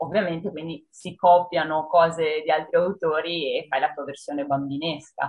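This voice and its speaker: At a moderate pace, a woman with an ordinary speaking voice talks at a fairly low pitch with fairly even intonation. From northern Italy, Padua province. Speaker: horror writer. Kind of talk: interview. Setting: video call.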